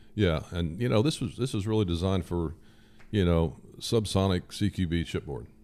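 Speaking with an American accent, a man uses a very deep, low pitch and a dark, mellow tone at a moderate pace with ordinary pitch variation. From southern Indiana. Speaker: firearms industry engineer. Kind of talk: casual interview. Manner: hesitant, many fillers.

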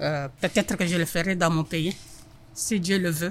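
The speaker goes at a moderate pace with ordinary pitch variation. The voice is somewhat breathy. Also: woman. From Congo. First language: French (speaking Dutch). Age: 60s. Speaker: kitchen worker. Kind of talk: interview.

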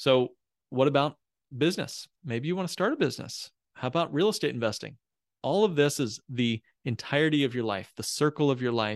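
With an American accent, the speaker talks at a fairly quick pace with lively intonation in a dry, close sound with no echo. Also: man, fairly high pitch for a man. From Indiana, US Midwest. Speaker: financial planner. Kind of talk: casual interview.

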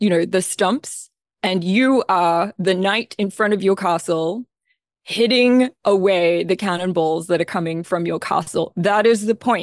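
A woman speaks with an Australian accent at a medium pitch and a fairly slow pace. Her pitch varies in an ordinary way, and the sound is dry and close with no echo. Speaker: composer. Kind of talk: interview.

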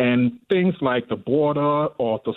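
An ordinary speaking voice comes through with ordinary pitch variation. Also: man. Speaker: caller. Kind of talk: call-in talk radio. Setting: phone call.

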